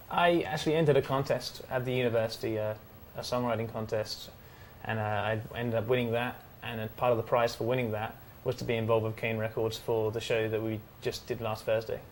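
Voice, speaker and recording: With an English accent, a man of medium pitch talks at a very fast pace, his intonation fairly even. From England. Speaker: student singer-songwriter. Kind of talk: interview. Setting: TV studio on location at a hotel. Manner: hesitant.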